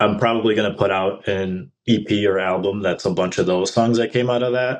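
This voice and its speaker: A man's monotone, flat delivery with a Midwestern accent against a quiet background. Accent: American Midwestern. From Mexico, raised in US Midwest. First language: Spanish. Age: 40s. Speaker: indie rock musician. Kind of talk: podcast interview.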